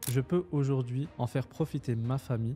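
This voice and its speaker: With music in the background, a man speaks at a medium pitch with fairly even intonation. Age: 20s. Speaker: online business coach. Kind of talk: personal introduction to camera.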